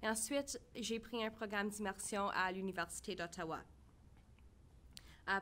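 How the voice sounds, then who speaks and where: In a Franco-Ontarian accent, a woman speaks at a moderate pace and medium pitch with fairly even intonation. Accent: Franco-Ontarian Canadian English. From northern Ontario, Canada. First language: French. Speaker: town council candidate. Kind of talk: candidate speech.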